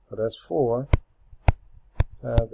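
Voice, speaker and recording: Somewhat breathy and dark, mellow in tone, a man's voice sits at a medium pitch with fairly even intonation. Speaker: math teacher. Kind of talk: tutorial.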